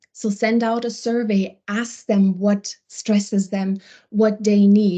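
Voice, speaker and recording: A woman's dark, mellow voice, medium in pitch, with a non-native accent, flat monotone intonation and a fairly slow pace, against a quiet background. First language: not English. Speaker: wellbeing program lead. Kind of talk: webinar panel discussion. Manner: halting, searching for words.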